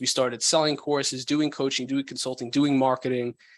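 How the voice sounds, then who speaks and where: Against a quiet background, a man with an American accent speaks at medium pitch. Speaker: business founder and course creator. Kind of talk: podcast interview.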